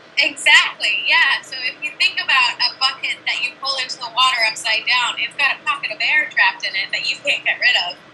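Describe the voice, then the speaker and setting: A woman talks in a raised, projected voice at high pitch, with very wide pitch swings. She moves at a fairly quick pace with hardly any pauses, over noticeable background noise. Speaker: aquanaut marine science researcher. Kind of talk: interview. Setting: video call from underwater habitat.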